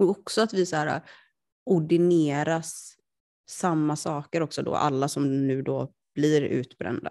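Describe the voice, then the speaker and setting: Over a quiet background, a woman with a dark, mellow tone and a very deep, low pitch speaks at a fairly slow pace with ordinary pitch variation. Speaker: podcast co-host. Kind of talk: casual chat. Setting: lying on a sofa at home.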